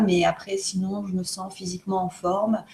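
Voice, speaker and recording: This woman talks at a very slow pace while noticeable background noise carries on behind her. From France. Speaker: co-host of self-development video challenge. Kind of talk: casual chat. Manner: halting, many hesitations.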